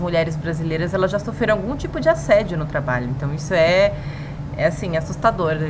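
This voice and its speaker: With audible room echo and noticeable background noise, a woman speaks at a fairly low pitch with ordinary pitch variation. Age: 30s. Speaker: podcast co-host, journalist. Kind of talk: casual chat.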